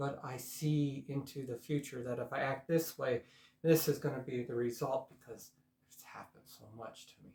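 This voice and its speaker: A man speaks in a dark, mellow tone at medium pitch. His voice is somewhat breathy. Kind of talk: personal vlog monologue. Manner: soft-spoken.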